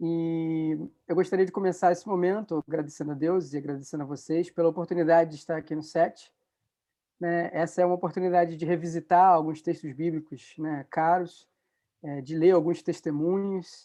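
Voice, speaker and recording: Against a quiet background, a man with a high pitch and a dark, mellow tone speaks at a moderate pace in a monotone, flat intonation. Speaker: law researcher and lecturer. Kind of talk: lecture. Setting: video call.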